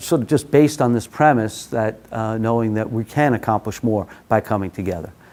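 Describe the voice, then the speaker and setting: A man with a New York accent speaks at a fairly low pitch. His intonation is lively. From New York City, Brooklyn. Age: 50s. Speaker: workshop facilitator. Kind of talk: workshop presentation. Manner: frequent filler uh.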